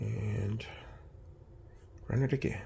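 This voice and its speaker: Soft-spoken, a man talks at a fairly low pitch with vocal fry. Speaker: electronics repair youtuber. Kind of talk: tutorial. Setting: home workshop at night. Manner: casual.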